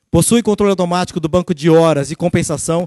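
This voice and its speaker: High pitch from a man in a dry, close sound with no echo. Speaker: sales executive. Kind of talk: sales presentation. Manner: fast.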